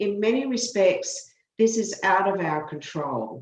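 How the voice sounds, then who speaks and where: Lively intonation runs through this woman's speech. She has an Australian accent. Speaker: law professor. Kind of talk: committee testimony.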